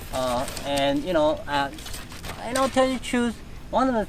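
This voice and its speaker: Noticeable background noise runs under a man's voice. He talks at a moderate pace in a fairly high pitch. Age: 60s. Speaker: reptile breeder. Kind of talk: casual interview.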